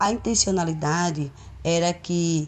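A woman speaks very slowly in a dark, mellow tone, her pitch fairly low and her pitch variation ordinary. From Pernambuco, Brazil (Olinda). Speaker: community activist. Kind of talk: prerecorded talk.

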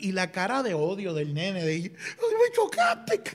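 A man speaks with a Puerto Rican accent. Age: 30s. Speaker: podcast co-host. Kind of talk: casual chat.

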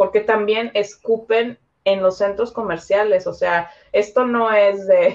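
A woman with a fairly high voice talks very slowly in a flat monotone, her loudness very even throughout. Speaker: Mexican expat guest. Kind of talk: casual chat.

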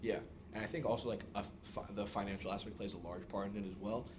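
A man with an American accent, with audible room echo. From New York City. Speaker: engineering student. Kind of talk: podcast interview.

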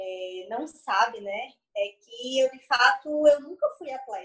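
A woman speaks in a high pitch. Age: 20s. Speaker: CrossFit athlete and nutritionist. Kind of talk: casual interview chat.

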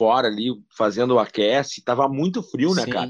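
Medium in pitch, a man speaks at a fairly slow pace. The background is quiet. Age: 40s. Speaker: sports radio journalist. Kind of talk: casual interview.

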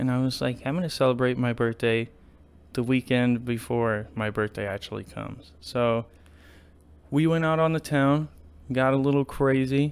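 A man with a medium pitch and ordinary pitch variation talks in a plain, everyday voice. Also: moderate pace. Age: 20s. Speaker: podcast host. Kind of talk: casual solo monologue.

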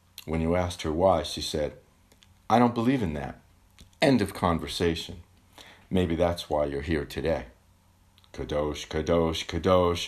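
At a moderate pace, the speech has ordinary pitch variation and long, frequent pauses. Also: man, very deep, low pitch for a man. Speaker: poet reading own poem. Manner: measured, contemplative, gently wry.

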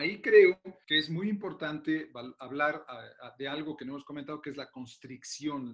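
A man's normal speaking voice, with big swings in loudness and fairly even intonation. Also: fairly high pitch for a man, moderate pace. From Mexico City. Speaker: orthopedic surgeon. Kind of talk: interview.

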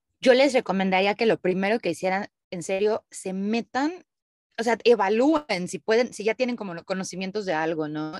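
A woman's medium-pitched voice with a Mexican accent, lively in intonation, at a moderate pace, in a dry, close sound with no echo. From Mexico. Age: 30s. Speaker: digital nomad, content creator. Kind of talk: interview conversation.

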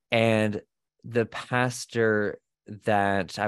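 A man talks in a fairly low voice, his intonation monotone and flat. The sound is dry and close with no echo, over a quiet background. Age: 20s. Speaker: activist and content creator. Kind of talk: interview testimony.

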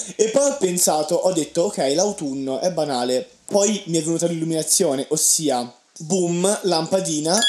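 A man's high voice with lively intonation, very even loudness, and noticeable background noise. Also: moderate pace. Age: young. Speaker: podcast co-host, university student. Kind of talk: casual chat. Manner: animated.

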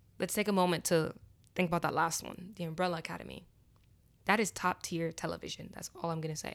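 Over a very clean recording with a silent background, a woman talks at a very fast pace with vocal fry, a fairly low pitch, monotone, flat intonation and big swings in loudness. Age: 20s. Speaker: podcast host. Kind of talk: solo casual monologue.

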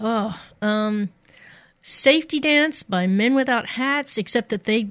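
With an American accent, a woman speaks in a plain, everyday voice at fairly high pitch and a fairly slow pace, with ordinary pitch variation and a dry, close sound with no echo against a quiet background. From Missouri, US. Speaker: radio DJ. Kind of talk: casual interview chat.

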